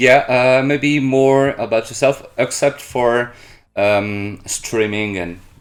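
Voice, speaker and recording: A man talks at a very slow pace. His pitch is medium, with ordinary pitch variation. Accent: French. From France, Brittany. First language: French. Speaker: streamer and interviewer. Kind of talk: interview. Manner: halting.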